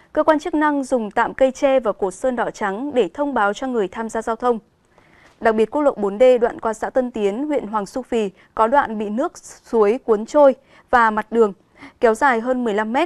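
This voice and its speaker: Recorded with a dry, close sound and no echo, a woman with a fairly high pitch speaks at a moderate pace with ordinary pitch variation in an ordinary speaking voice. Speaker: news anchor. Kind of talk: news reading. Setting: studio. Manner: formal.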